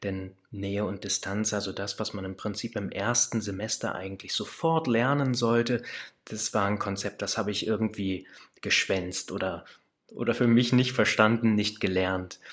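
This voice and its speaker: With an ordinary speaking voice, a man talks at a moderate pace, his pitch fairly low and his intonation fairly even. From central Germany, Kassel area. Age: 30s. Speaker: relaxation coach, former social worker. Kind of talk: casual interview.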